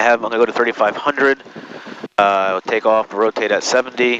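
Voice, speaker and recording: Very fast speech with fairly even intonation, a dry sound with no echo, and noticeable background noise. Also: man. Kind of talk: checklist commentary. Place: plane. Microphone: headset.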